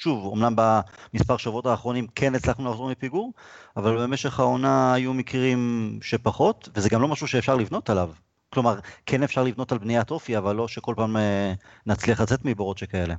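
A man speaks in an unremarkable speaking voice at a medium pitch. His pace is fairly quick, with ordinary pitch variation. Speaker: podcast host. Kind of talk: casual chat. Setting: video call.

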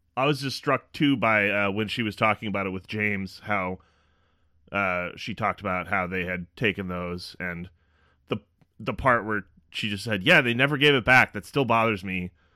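A man's fairly low, bright, sharp voice at a moderate pace, with ordinary pitch variation and a dry, close sound with no echo. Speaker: podcast co-producer and narrator. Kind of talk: true-crime narration. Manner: measured, factual, serious.

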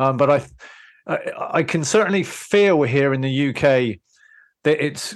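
With a British accent, a man speaks at a moderate pace and a fairly high pitch. The background is quiet. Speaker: podcast host. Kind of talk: casual interview chat.

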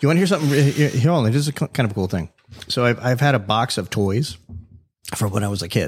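Talking at a very fast pace, a man with an American accent sounds somewhat breathy. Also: medium pitch for a man, lively intonation. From South Florida. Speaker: podcast host. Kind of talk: casual chat. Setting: studio. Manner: casual, filler-heavy.

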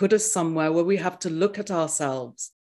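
The speech carries an English accent and fairly even intonation. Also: woman. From England. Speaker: spiritual teacher. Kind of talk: interview. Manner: soothing.

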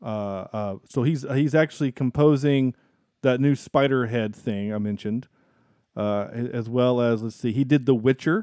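A man with a slight Southern US accent speaks at a medium pitch and a moderate pace, with ordinary pitch variation. The recording is very clean, with a silent background and a dry, close sound with no echo. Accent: mild Southern US. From US South. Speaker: podcast host, film reviewer. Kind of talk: casual chat.

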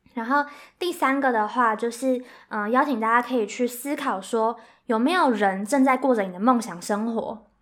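A woman with a Taiwanese accent talks at a moderate pace in a high pitch, with ordinary pitch variation. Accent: Taiwanese Mandarin. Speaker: graduate student and career-planning workshop co-founder. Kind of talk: casual interview.

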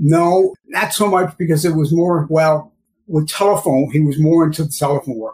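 Using an ordinary speaking voice with an American accent, a man talks at a fairly high pitch and moderate pace with ordinary pitch variation. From St. Louis, Missouri. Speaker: cleaning chemicals and sanitation specialist. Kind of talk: casual interview.

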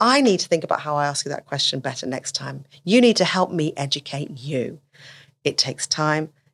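Lively in intonation, a woman with a very deep, low pitch talks at a fairly quick pace. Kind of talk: casual interview conversation. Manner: fast talker.

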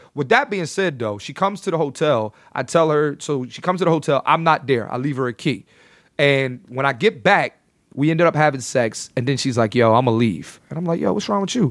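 In a plain, everyday voice, a man with an American accent talks at a fairly quick pace and fairly high pitch with lively intonation, on a very clean recording with a silent background. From Philadelphia, US. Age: 30s. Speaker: comedian. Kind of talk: casual chat.

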